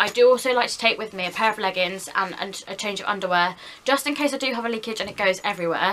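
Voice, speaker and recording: The speech runs at a very fast pace with ordinary pitch variation, and noticeable background noise is present. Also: woman. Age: 20s. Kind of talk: casual talk to camera.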